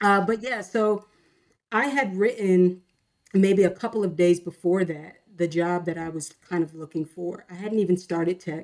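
This woman has an unremarkable speaking voice at a medium pitch. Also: ordinary pitch variation, moderate pace. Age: 30s. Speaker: tech sales worker and songwriter. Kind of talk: interview testimony.

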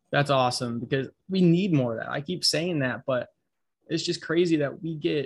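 The voice is somewhat breathy, with ordinary pitch variation. The pace is moderate. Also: man. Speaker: podcast host. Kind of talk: interview.

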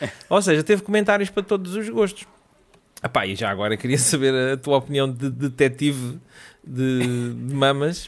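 With a European Portuguese accent, a man speaks at a moderate pace in a fairly high pitch with lively intonation. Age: 40s. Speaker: podcast co-host. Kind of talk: casual chat.

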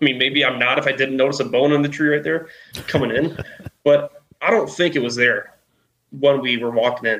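A man speaks fairly quickly at a fairly high pitch, with ordinary pitch variation. He has a plain, everyday voice. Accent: American. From Chicago suburbs, US Midwest. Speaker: Bigfoot witness. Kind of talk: casual interview, storytelling.

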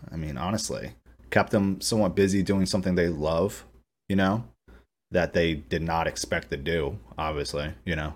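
A man with a very deep, low voice talks at a moderate pace, using ordinary pitch variation. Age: 30s. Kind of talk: casual interview. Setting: video call.

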